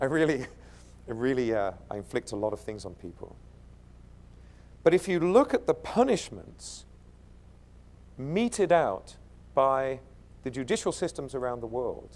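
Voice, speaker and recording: A man with an American accent talks at a moderate pace and medium pitch, his pitch swinging very widely, with long, frequent pauses. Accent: British, slipping toward American. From East London, England. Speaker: keynote speaker. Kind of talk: conference keynote. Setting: stage with audience. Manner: animated.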